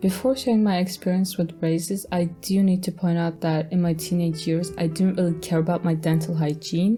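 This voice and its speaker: A woman in monotone, flat intonation, with music in the background. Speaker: storytime animator. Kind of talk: casual storytelling narration.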